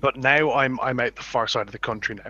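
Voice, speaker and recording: The speaker talks with a Dublin accent and ordinary pitch variation. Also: man. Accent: Dublin Irish. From Ireland, Dublin. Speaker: YouTuber. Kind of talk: casual chat.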